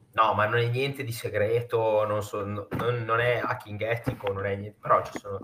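Speaking at a medium pitch, a man takes a fairly slow pace. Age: 30s. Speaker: news content creator. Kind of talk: casual interview chat. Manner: animated.

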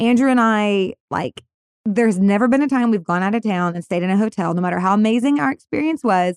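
A woman at a medium pitch talks in an animated tone at a fairly quick pace. Her pitch variation is ordinary, and the sound is dry and close with no echo. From Texas, Irving near Dallas. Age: 40s. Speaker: podcast co-host. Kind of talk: casual chat.

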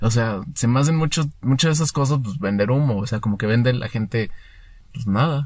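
A man's somewhat breathy voice at a medium pitch, at a fairly quick pace with ordinary pitch variation. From Mexico, Querétaro. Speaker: podcast co-host. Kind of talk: casual chat.

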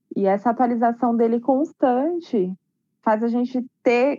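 The sound is dry and close with no echo as a woman talks at a fairly slow pace. Her fairly high voice has a dark, mellow tone and ordinary pitch variation. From Guarujá, São Paulo coast, Brazil. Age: 30s. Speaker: teacher. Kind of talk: casual discussion on racism. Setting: video call. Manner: halting.

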